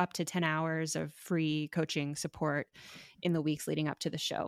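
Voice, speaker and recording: With an American accent and an unremarkable speaking voice, a woman speaks at a moderate pace in a fairly low pitch with fairly even intonation, on a very clean recording with a silent background and a dry, close sound with no echo. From Miami, Florida. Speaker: physician and storytelling event creator. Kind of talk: interview conversation.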